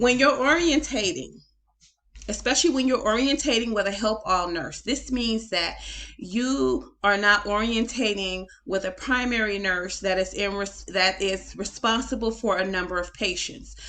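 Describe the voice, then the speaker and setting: A woman speaks in a bright, sharp tone. Her intonation is lively. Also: medium pitch for a woman. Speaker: nurse educator. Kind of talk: case study commentary. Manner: fast.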